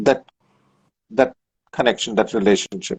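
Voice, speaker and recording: Recorded dry and close with no echo, a man with a Kannada accent speaks with lively intonation. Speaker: professor and author. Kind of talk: interview conversation. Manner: hesitant with fillers.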